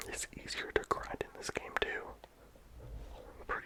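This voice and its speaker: Someone whispers over noticeable background noise. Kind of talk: ASMR game review. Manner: whispered.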